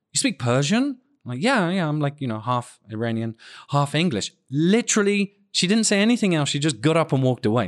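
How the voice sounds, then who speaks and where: A man with a British accent, fairly high pitch and very wide pitch swings, at a fairly quick pace, in a dry, close sound with no echo over a quiet background. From United Kingdom. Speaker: podcast co-host. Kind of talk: casual chat. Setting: remote call. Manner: animated, laughs often.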